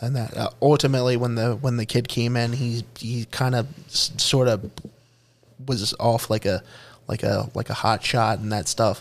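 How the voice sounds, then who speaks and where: Speaking with a Philadelphia accent, a man keeps a medium pitch and fairly even intonation. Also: moderate pace. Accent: Philadelphia-area American. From US, Pennsylvania (Bucks County, near Philadelphia). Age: 30s. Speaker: podcast co-host. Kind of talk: casual chat.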